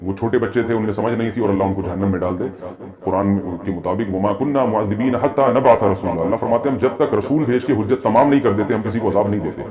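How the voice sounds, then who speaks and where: The man's pitch sits fairly low and moves with ordinary variation. Noticeable background noise is present. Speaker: Islamic scholar answering viewers' religious questions. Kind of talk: religious Q&A lecture.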